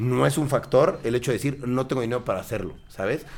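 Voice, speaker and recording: This man talks very fast at a medium pitch. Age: 30s. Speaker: content creator. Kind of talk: casual interview chat.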